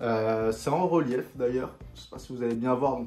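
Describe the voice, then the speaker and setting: A man speaks at a moderate pace. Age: 20s. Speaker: YouTuber, sneaker and streetwear reviewer. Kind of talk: casual haul video. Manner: casual, hesitant with many fillers.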